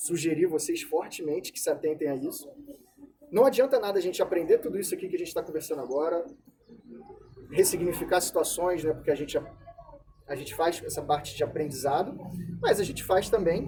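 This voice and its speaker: Over noticeable background noise, a man talks at a fairly quick pace broken by long, frequent pauses. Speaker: psychologist. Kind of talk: lecture. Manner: fast.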